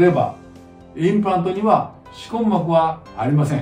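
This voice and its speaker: Against audible room echo and faint background music, a man speaks at a fairly slow pace in a high voice. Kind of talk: explanatory talk to camera. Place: office.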